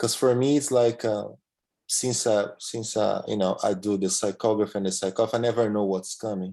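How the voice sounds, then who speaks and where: A man with a Portuguese accent speaks at a moderate pace over a quiet background. His voice sits fairly low in pitch, with a dark, mellow tone and fairly even intonation. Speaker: medium in a spiritist study group. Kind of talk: testimony in a study class. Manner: halting, many repeated words and fillers.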